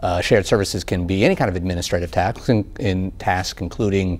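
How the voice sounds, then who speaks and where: At a fairly quick pace, a man talks in a very deep, low voice. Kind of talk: interview answer. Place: studio.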